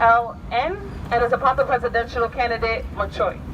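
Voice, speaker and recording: A woman speaks with a Haitian accent against noticeable background noise. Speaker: rally emcee. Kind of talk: rally speech. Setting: outdoors. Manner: animated.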